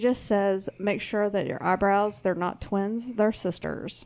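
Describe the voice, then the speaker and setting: The speaker has a Southern US accent. The recording is very clean, with a silent background. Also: woman. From US South. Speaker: co-host of another show, producer. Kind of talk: casual chat.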